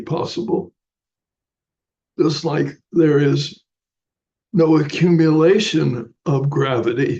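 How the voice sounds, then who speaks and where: This man talks at a very slow pace, his pitch fairly high with ordinary variation. Vocal fry runs through his voice. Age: 80s+. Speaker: Buddhist teacher. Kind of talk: dharma talk.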